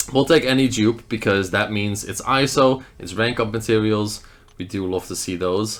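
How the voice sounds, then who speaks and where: Music plays in the background as a man with a Dutch accent speaks at a moderate pace, using a fairly low pitch and ordinary pitch variation. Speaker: mobile game YouTuber. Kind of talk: gameplay commentary.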